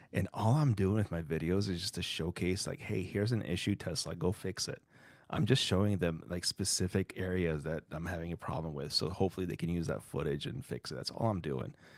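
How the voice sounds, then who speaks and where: With a very deep, low pitch, vocal fry and lively intonation, a man talks at a fairly quick pace with hardly any pauses on a very clean recording with a silent background. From Poland. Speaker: live stream host. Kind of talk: casual chat. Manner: halting.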